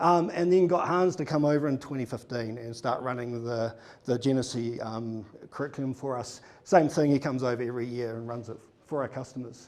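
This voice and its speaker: With a New Zealand accent, a man of medium pitch talks at a fairly quick pace, showing ordinary pitch variation and big swings in loudness. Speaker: conference speaker, data consultant. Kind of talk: conference talk. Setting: stage with audience. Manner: casual, many fillers.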